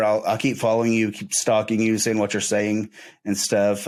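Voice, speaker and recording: A man's fairly low voice with an Oklahoma accent, on a very clean recording against a silent background. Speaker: podcast host. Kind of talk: interview podcast. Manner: halting.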